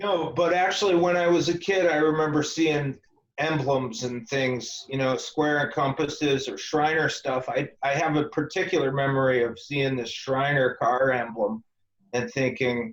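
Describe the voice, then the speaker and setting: A man with a plain, everyday voice speaks at a moderate pace and a fairly high pitch, with ordinary pitch variation. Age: 40s. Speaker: esoteric author and Freemason. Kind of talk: interview.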